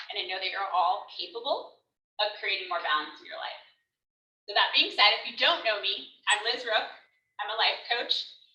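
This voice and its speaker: A woman's medium-pitched voice at a moderate pace, with long, frequent pauses, big swings in loudness and audible room echo. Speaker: life coach. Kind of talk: workshop talk. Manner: animated.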